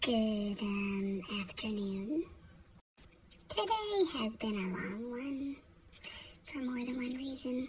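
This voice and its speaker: A woman whispers at a very slow pace, with long, frequent pauses. Noticeable background noise can be heard. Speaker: vlogger and foster parent. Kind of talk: casual vlog monologue. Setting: home office. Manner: whispering.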